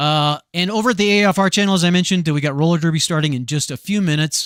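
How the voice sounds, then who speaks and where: A man talks at a very fast pace in a very clean recording with a silent background and a dry, close sound with no echo. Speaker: tabletop game show host. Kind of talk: live stream commentary. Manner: announcer-style delivery.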